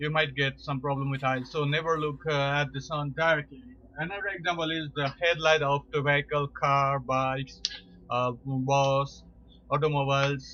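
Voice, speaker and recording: A man speaks with a non-native accent. His intonation stays monotone and flat. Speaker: amateur science video presenter. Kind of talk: informal educational talk. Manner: slow, deliberate; halting, many fillers.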